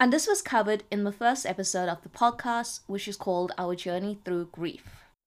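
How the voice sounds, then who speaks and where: On a very clean recording with a silent background, a woman talks at a moderate pace with hardly any pauses. She has an ordinary speaking voice, medium pitch and ordinary pitch variation. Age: 30s. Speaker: podcast host. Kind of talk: personal storytelling monologue.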